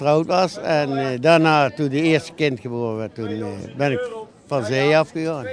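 A man with a fairly high pitch at a moderate pace, dry sound with no echo, noticeable background noise. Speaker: passerby interviewed at market. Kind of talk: casual street interview. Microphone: handheld.

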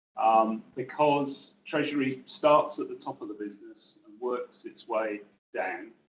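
A man talks fairly slowly, his loudness swinging widely. Light background noise and audible room echo come through. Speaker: banking lecturer, former bank treasury professional. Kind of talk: informal talk to audience. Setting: room with live audience and online stream. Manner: soft-spoken. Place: meeting room.

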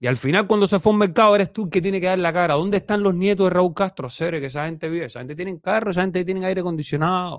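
A man's very fast, high-pitched, animated speech with hardly any pauses and ordinary pitch variation, dry with no echo against a quiet background. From Cuba. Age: 30s. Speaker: YouTube commentator. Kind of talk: opinion monologue. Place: home room. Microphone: studio mic.

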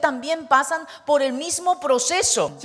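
With a high pitch and ordinary variation, a woman talks fairly slowly. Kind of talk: sermon interpretation. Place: church. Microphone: handheld.

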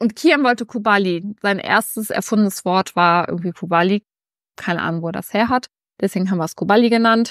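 A woman speaks at a fairly quick pace with ordinary pitch variation, her voice dry with no echo against a quiet background. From Germany, Bonn (Rhineland); Germany. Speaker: lifestyle YouTuber. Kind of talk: casual vlog to camera. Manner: animated. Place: home room. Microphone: lapel.

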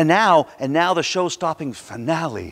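A man speaks at a moderate pace with lively intonation. His pitch is fairly high and his tone is fairly bright.

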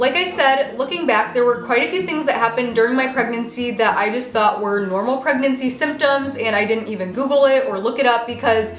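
A high-pitched woman at a fairly quick pace with hardly any pauses and ordinary pitch variation, with light background noise and audible room echo. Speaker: vlogger sharing personal experience. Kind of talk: casual vlog chat. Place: home room.

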